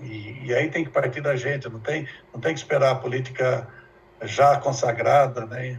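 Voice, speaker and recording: In a room with audible echo, a man at medium pitch speaks at a moderate pace in a somewhat breathy, monotone, flat voice whose loudness swings widely. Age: 70s. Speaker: professor. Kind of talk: lecture.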